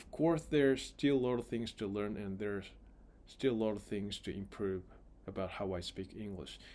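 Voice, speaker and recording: A man with a non-native accent speaks in a dark, mellow tone at a fairly low pitch. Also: ordinary pitch variation, moderate pace. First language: not English. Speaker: vlogger practicing English. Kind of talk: casual monologue vlog. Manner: halting, repeating words.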